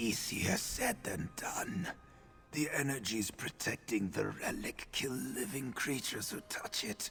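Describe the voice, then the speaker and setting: Against clear background noise, a man does a put-on character voice at a fairly slow pace. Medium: video game. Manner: grave, somber.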